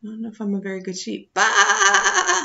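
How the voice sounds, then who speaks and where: A put-on character voice at a moderate pace. The intonation stays flat and monotone. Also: woman. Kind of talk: bedtime story. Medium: read story.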